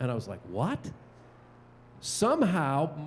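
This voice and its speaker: The man's voice sits at a fairly high pitch. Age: 60s. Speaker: TV play-by-play sports broadcaster. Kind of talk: panel talk. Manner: hesitant, many fillers and restarts.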